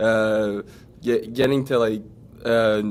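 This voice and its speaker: This man speaks with a French accent. His intonation is monotone and flat. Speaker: pro football player. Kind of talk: interview. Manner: halting.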